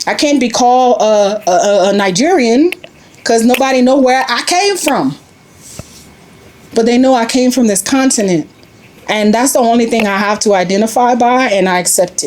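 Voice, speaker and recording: Over noticeable background noise, a woman with a fairly high voice speaks at a moderate pace in an animated tone, with lively intonation and long, frequent pauses. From US South, Louisiana. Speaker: expat family member interviewee. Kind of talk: interview conversation.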